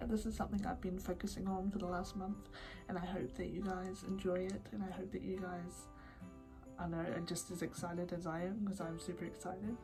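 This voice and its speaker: With music in the background, a woman at medium pitch speaks at a fairly quick pace with fairly even intonation. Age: 20s. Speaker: YouTuber and podcaster. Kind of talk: casual talk to camera.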